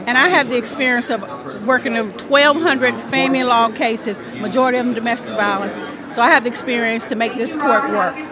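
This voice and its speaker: Crowd noise fills the background as a woman speaks at a fairly quick pace with a high pitch and ordinary pitch variation. The sound is dry, with no echo. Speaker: family law attorney, judicial candidate. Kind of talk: campaign interview answer. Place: hall. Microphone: handheld.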